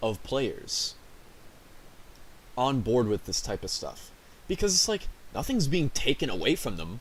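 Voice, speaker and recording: A man's somewhat breathy voice. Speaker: streamer. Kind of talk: casual rant. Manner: halting.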